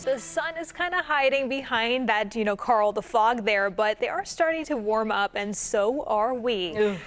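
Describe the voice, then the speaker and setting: Noticeable background noise sits behind a woman with a fairly high pitch. She talks at a moderate pace with lively intonation and hardly any pauses. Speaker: TV news anchor. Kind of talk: TV news anchoring.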